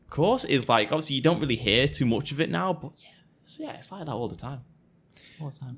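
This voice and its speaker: This man speaks very fast with a Manchester accent, his pitch fairly high and his intonation lively. His loudness swings widely, and vocal fry creeps into his voice. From Manchester, England. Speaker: guest on podcast. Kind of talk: casual chat.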